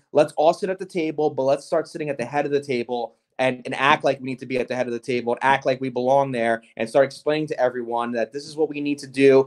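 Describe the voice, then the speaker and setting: In a New Jersey accent, a man talks very fast with a fairly high pitch and an animated tone. He barely pauses, and the sound is dry and close with no echo. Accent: New Jersey American. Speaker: gelato chef and shop owner. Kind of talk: interview.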